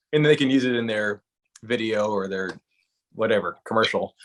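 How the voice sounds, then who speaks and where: In an American accent, a man with an ordinary speaking voice talks at a moderate pace, his medium pitch held fairly even. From US South, South Carolina. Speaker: country musician. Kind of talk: interview. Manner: casual, conversational.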